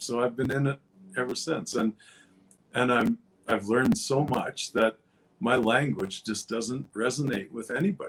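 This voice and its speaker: In a plain, everyday voice, a man at a medium pitch speaks at a moderate pace with lively intonation. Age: 60s. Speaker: former rancher. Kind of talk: interview answer. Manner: casual, rambling.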